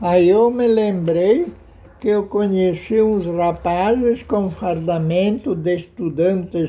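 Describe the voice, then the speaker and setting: A man speaks at a very slow pace with a high pitch and ordinary pitch variation. Noticeable background noise runs underneath. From southern Brazil, Rio Grande do Sul. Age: 80s+. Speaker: local historian. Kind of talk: interview. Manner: halting.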